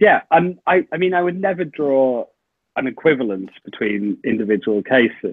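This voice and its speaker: Speaking in a British accent at a moderate pace, a man uses a fairly high pitch with very wide pitch swings. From UK. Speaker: journalist and author. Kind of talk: podcast interview.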